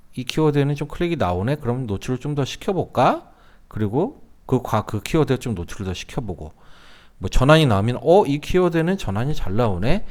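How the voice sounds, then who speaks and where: On a very clean recording with a silent background, a man talks at a fairly quick pace, his pitch swinging very widely. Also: medium pitch for a man. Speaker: online marketing instructor. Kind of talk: tutorial. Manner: casual, with fillers and self-corrections.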